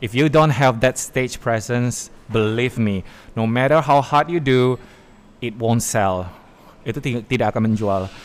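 A man speaks in a plain, everyday voice at a medium pitch and moderate pace with ordinary pitch variation, on a very clean recording with a silent background. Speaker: master of ceremonies and former radio announcer. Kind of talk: casual interview. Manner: code-switching with English.

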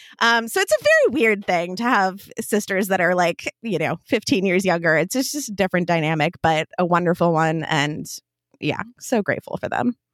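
With an American accent, a woman uses an ordinary speaking voice at medium pitch and moderate pace, her intonation lively and the sound dry and close with no echo. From US Midwest, small town Minnesota. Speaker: entrepreneur. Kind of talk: casual interview. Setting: recording from home closet.

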